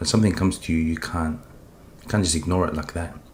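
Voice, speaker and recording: A man with an Australian accent talks at a very fast pace. His very deep, low voice shows ordinary pitch variation. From Australia, Sydney. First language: Polish. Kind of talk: testimony. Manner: halting.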